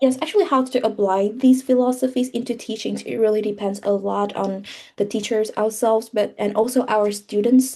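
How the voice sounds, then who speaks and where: Woman with a Vietnamese accent, fairly high pitch, dark, mellow tone, fairly quick pace, fairly even intonation and hardly any pauses. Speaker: English teacher. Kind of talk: interview. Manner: halting.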